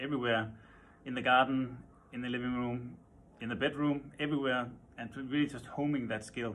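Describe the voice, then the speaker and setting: A man with a Danish accent, fairly even intonation, light background noise. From Denmark. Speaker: furniture designer. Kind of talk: interview. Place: office. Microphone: phone near.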